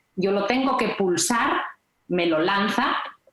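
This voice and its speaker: A woman speaks with lively intonation. There is audible echo in the room. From Galicia, Spain. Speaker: nurse. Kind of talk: health podcast interview.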